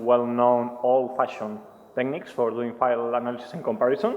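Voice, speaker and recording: A man with a Spanish accent speaks at a moderate pace. There is audible room echo and noticeable background noise. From Spain. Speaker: penetration tester presenting at a security conference. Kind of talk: conference talk. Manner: hesitant, many fillers.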